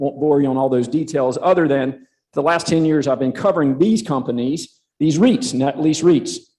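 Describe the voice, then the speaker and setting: With a Southern US accent and a dark, mellow tone, a man speaks at a fairly high pitch with ordinary pitch variation. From South Carolina. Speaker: conference speaker, real estate analyst. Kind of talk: conference presentation. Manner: halting, many fillers.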